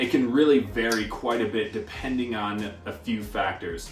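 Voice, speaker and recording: Faint music plays in the background as a man speaks at a fairly slow pace with audible room echo. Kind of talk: informational talk to camera. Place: kitchen.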